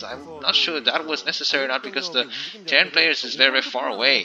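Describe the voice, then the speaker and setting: Noticeable background noise surrounds a man talking at a very fast pace. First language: not English. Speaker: StarCraft commentator. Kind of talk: live game commentary. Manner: hesitant, many fillers.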